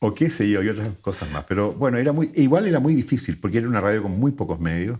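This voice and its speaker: Talking at a very fast pace, a man's voice rises and falls with lively intonation. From Chile. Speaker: radio announcer and voice-over artist. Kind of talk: interview answer.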